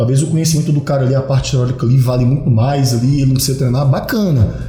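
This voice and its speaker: Over music in the background and with audible room echo, a man with a fairly high voice speaks at a very fast pace with ordinary pitch variation. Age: 30s. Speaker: personal trainer. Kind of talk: casual chat. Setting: studio.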